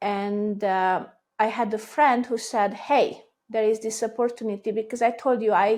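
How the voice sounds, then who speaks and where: A woman with a Hungarian accent speaks at a fairly high pitch in monotone, flat intonation, in a very clean recording with a silent background. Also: moderate pace. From Hungary. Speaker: business owner. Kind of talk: casual chat.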